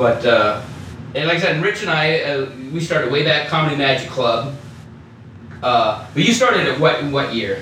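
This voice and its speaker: Amid noticeable background noise, a man with a fairly high voice and lively intonation speaks at a moderate pace, taking long, frequent pauses. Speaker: stand-up comedian. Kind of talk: casual chat. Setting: room at a golf fundraiser.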